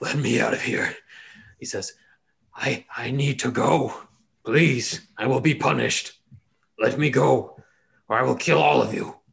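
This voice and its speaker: A man's put-on character voice, raspy, hoarse and strained, at medium pitch and a moderate pace, with long, frequent pauses. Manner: desperate, threatening.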